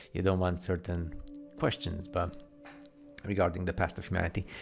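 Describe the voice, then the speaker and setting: Music plays in the background as a man talks at a fairly quick pace, his very deep, low pitch showing ordinary variation. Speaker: conspiracy video commentator. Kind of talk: casual commentary over photos. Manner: fast; animated.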